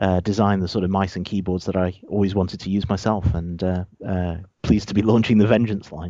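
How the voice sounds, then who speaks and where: In a British accent, a man with a very deep, low voice talks at a fairly quick pace in a monotone, flat delivery. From UK. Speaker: gaming peripherals executive. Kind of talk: interview.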